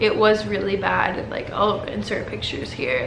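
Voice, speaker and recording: There is noticeable background noise. Through it, a woman talks at a moderate speed. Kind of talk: casual talk to camera.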